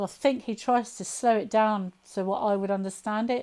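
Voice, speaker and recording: In a southern English accent, a woman speaks at a fairly high pitch with ordinary variation. Her tone is dark and mellow. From southern England, Southampton. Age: 50s. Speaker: alien abduction experiencer. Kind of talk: interview testimony. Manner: fast; halting.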